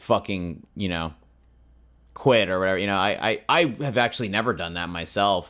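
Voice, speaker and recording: A man speaks at a fairly low pitch and a moderate pace, with ordinary pitch variation and a bright, sharp tone. The recording is very clean, with a silent background. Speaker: singer-songwriter podcast host. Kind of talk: casual solo monologue. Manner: expressive; halting, many fillers.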